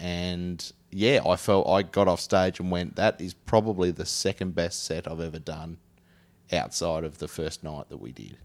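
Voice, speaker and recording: With a Tasmanian accent, a man talks at a moderate pace in a very deep, low voice with ordinary pitch variation. The recording is very clean, with a silent background. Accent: Tasmanian Australian. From Tasmania, Australia. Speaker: podcast host. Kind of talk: casual comedic chat.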